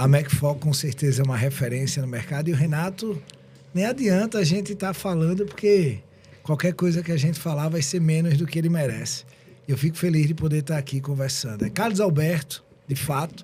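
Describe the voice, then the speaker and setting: Speaking at a fairly quick pace, a man with a fairly high pitch has a dark, mellow tone and ordinary pitch variation. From southern Brazil (Rio Grande do Sul). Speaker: tax lawyer and entrepreneur. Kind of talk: podcast interview.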